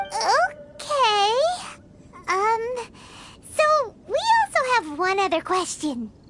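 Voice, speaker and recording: An extremely high, put-on character voice. It moves at a very slow pace, with long, frequent pauses. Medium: video game.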